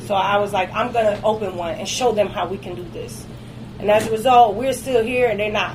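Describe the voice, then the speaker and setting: Fairly quick speech from a woman with fairly even intonation, audible room echo and noticeable background noise. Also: medium pitch for a woman. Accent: American. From Detroit, US. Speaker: cigar lounge owner. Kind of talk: casual interview.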